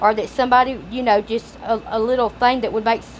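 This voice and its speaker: A woman talks very fast in a Southern US accent. Her pitch is fairly high, with noticeable background noise behind her. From Louisiana. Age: 30s. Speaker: YouTuber. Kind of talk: casual commentary and reading aloud. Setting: home recording for video channel. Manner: rambling, conversational.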